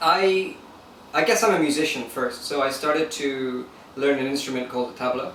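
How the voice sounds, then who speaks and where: The speaker has an American accent. Noticeable background noise and audible room echo fill the recording. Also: man, fairly high pitch for a man, ordinary pitch variation, moderate pace. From Lagos, Nigeria and London. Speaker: musician and online entrepreneur. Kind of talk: interview.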